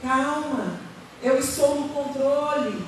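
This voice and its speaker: A high-pitched woman's voice at a very slow pace, with audible room echo and noticeable background noise. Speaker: pastor. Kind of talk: sermon. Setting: church.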